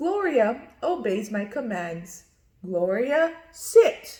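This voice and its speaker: Using a put-on character voice, a woman speaks at a fairly high pitch and a very slow pace with very wide pitch swings. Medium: read story. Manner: earnest, instructive.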